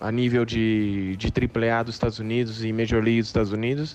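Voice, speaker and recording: A man's medium-pitched voice. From Brazil. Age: 30s. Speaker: professional baseball player. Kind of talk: interview. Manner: halting.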